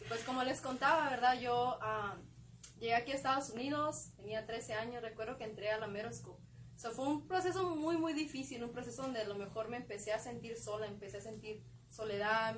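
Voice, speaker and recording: A woman with a fairly high pitch talks at a fairly quick pace with ordinary pitch variation. Noticeable background noise and audible room echo are present. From Mexico, León, Guanajuato. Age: 20s. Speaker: young church group member. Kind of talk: faith testimony. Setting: live stream from a bookstore.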